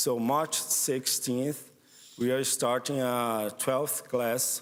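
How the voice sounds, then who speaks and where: Very slow speech from a man, his intonation fairly flat. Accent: Portuguese. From northeast Brazil. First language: Portuguese. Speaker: missionary program director. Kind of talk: church presentation. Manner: halting.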